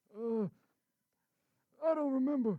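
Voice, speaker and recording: This is a put-on character voice that sounds female. It sits at a high pitch. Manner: grumpy, forgetful, crotchety.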